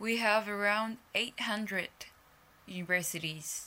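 With a Japanese accent, a woman speaks in a bright, sharp tone. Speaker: journalist and podcast host. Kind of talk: solo news commentary podcast.

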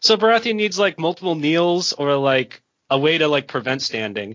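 An ordinary speaking voice from a man with an American accent, lively intonation, and a moderate pace. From United States. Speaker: podcast guest and card game player. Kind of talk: casual chat about a card game.

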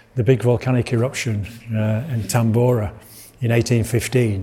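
A man speaks with a Yorkshire accent. His pitch sits in the middle range. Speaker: lecturer giving a public talk on art and weather. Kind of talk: informal lecture.

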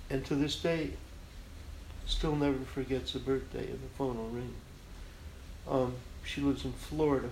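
A man with an American accent at a moderate pace, long and frequent pauses, and audible room echo. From Chicago, US Midwest. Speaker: graphic artist. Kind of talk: interview conversation.

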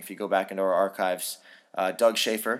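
A man with an American accent at a fairly quick pace, on a very clean recording with a silent background. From US West Coast, San Francisco. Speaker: wine podcast host, wine professional. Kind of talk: casual solo podcast monologue.

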